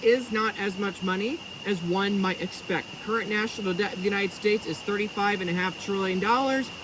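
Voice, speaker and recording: Over noticeable background noise, a man with a high pitch speaks in a raised, projected voice. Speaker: bitcoin finance commentator. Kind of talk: vlog commentary. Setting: outdoors in jungle. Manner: loud.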